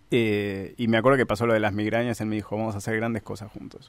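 A man speaks very fast in a Rioplatense accent, his fairly low voice monotone and flat. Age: 30s. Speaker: filmmaker and screenwriter. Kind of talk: radio interview.

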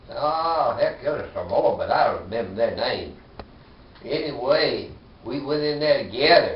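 A fairly slow pace with audible room echo. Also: man. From US South. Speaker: war veteran. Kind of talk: oral history interview. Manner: halting. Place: home room. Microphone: camera far.

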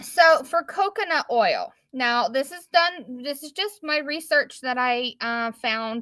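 Against a quiet background, a woman uses a raised, projected voice with a bright, sharp tone and ordinary pitch variation. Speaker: craft maker hosting a live. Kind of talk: tutorial. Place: shop. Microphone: phone near.

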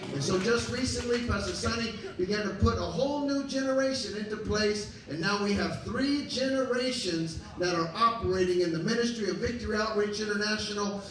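Talking fairly quickly with hardly any pauses, a man with a high pitch and ordinary pitch variation is heard with audible room echo and light background noise. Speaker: pastor. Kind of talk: sermon. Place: church.

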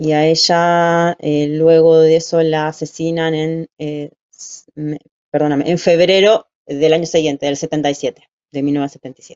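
A woman speaks very slowly in a very deep, low pitch with monotone, flat intonation. The background is quiet. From Buenos Aires, Argentina; Argentina. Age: 40s. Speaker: human rights testimony guest; interviewee. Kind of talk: interview testimony. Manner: halting, frequent filler 'eh'. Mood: calm, reflective, serious. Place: home room. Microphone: video call.

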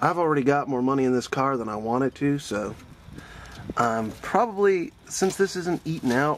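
A man speaks in a dry recording with no echo and light background noise. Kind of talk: tutorial. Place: garage. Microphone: phone near.

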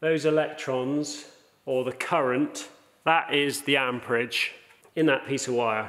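The man talks in a monotone, with flat intonation. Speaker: welding instructor. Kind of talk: tutorial. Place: workshop.

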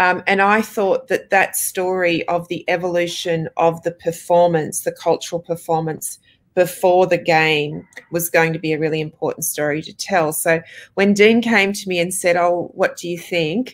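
Over a quiet background, a woman with an Australian accent talks at a moderate pace in a fairly low voice with fairly even intonation. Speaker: film director. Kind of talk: interview answers. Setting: video call.

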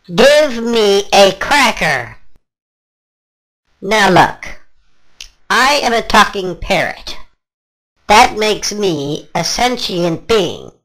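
A cartoonish character voice, fairly high-pitched and very slow, broken by long, frequent pauses. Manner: increasingly irritated, demanding.

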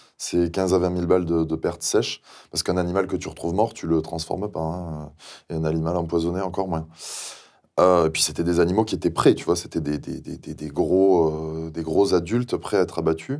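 A man with a very deep, low pitch talks at a fairly quick pace with fairly even intonation, over a quiet background. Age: young. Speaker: pig farmer; guest. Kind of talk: interview. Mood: indignant, sardonic. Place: studio. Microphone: lapel.

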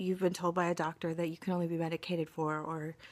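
A woman speaks with fairly even intonation. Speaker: vlogger. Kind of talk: casual vlog chat. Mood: warm, encouraging. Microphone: phone near.

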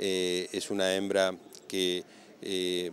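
At a slow pace, a man speaks low in pitch with monotone, flat intonation and a fairly bright tone.

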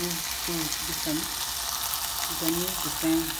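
Loud background noise runs through the clip. The speaker talks at a fairly slow pace. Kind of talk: tutorial. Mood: pleased, relaxed. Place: kitchen. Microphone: phone near.

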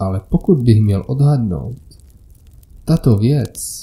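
Somewhat breathy and dark, mellow in tone, a man's medium-pitched voice moves at a very slow pace. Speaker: horror story narrator. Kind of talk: scripted horror story narration (first-person creepypasta).

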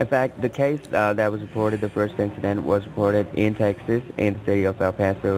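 Over noticeable background noise, a man with a fairly low pitch speaks at a fairly quick pace and fairly even intonation. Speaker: phone scammer posing as a government agent. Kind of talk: scam phone call. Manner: hesitant, many filler words.

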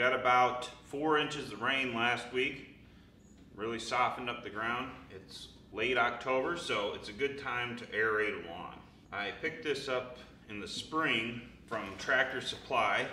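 A man's voice swings widely in loudness, with light background noise and audible room echo. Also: ordinary pitch variation, fairly slow pace. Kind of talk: tutorial. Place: workshop. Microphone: camera far.

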